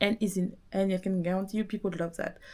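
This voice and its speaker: A woman with a strong French accent, medium pitch, dark, mellow tone and fairly quick pace. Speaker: business coach podcaster. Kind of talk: motivational monologue. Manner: animated.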